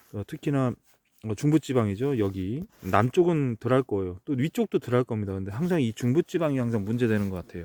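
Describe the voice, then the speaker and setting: A man's normal speaking voice, medium-pitched, with lively intonation on a very clean recording against a silent background. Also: fairly quick pace. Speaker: kiwiberry farmer. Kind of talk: outdoor farm tutorial vlog. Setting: outdoors in an orchard. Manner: casual, with many fillers.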